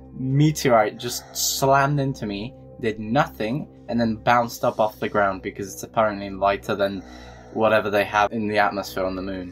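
With music in the background, a man talks with lively intonation. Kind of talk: casual talk to camera. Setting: gameplay commentary recorded over game footage.

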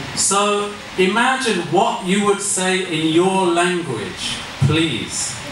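Over light background noise and audible room echo, a man with an English accent speaks at a very slow pace and a high pitch. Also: ordinary pitch variation. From England. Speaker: IELTS examiner and trainer. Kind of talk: masterclass lecture. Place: classroom.

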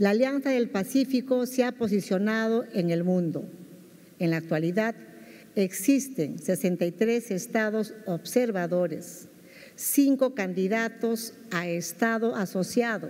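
A woman speaks very slowly in a dark, mellow tone with ordinary pitch variation. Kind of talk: formal ceremonial speech. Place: hall. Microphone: podium.

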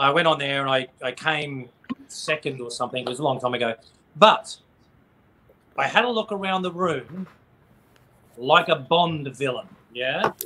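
A man talks with an Australian accent and lively intonation. He leaves long, frequent pauses. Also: fairly high pitch for a man, moderate pace. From Queensland, Australia. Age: 30s. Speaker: tribute band frontman; interview guest. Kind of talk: casual chat. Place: home room. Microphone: video call.

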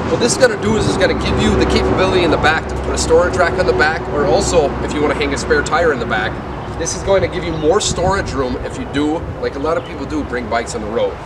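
Loud background noise sits behind a man speaking at a very fast pace. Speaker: RV salesman. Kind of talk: product walk-through. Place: street.

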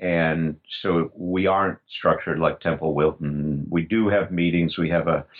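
A man speaks in a low voice. His pace is fairly slow and his intonation fairly even.

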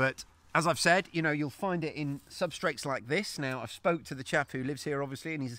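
A man at a fairly quick pace, bright and sharp in tone, in dry sound with no echo. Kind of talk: tutorial. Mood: excited, delighted. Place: garden. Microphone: phone near.

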